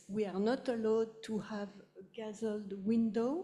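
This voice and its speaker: A woman's fairly high, somewhat breathy voice with a dark, mellow tone and a French accent. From France, Paris. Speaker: audience member. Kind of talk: audience question. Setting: public talk with audience.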